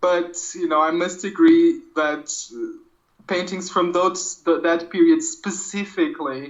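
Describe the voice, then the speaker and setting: The speaker has a Portuguese accent. The pace is fairly slow. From Portugal. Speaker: art podcast co-host, comics artist. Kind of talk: casual chat. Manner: hesitant, many fillers.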